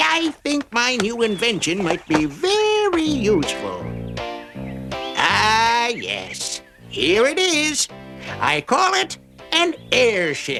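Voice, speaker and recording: Over clear music in the background, a man uses a cartoonish character voice at an extremely high pitch and a very slow pace. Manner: chuckling, genial.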